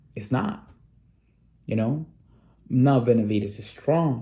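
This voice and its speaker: Speaking with a non-native accent, a man uses a somewhat breathy, dark, mellow tone at medium pitch with lively intonation. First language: Spanish. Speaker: sports channel host. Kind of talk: casual commentary monologue. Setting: studio. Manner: animated.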